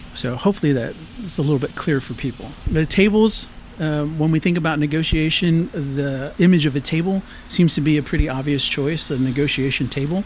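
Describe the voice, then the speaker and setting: A man's fairly high voice in an American accent, with ordinary pitch variation and a fairly quick pace, over noticeable background noise. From San Antonio, Texas. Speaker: artist. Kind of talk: interview. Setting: outdoors.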